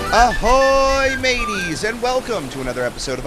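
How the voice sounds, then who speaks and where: Very wide swings in a man's pitch against noticeable background noise. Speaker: podcast host. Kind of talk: solo podcast episode review.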